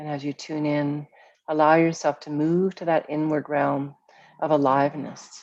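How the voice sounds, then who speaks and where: Against a quiet background, a woman talks in a calm, soothing tone at a fairly slow pace, her pitch very deep and low. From Vancouver, Canada. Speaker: guided meditation and mindfulness teacher. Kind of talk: guided meditation. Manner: calm, slow, soothing.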